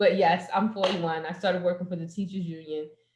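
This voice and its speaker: Speaking in an American accent, a woman has a fairly low pitch and monotone, flat intonation. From New Jersey, Jersey City. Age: 40s. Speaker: poetry open mic host. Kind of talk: casual chat. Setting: video call.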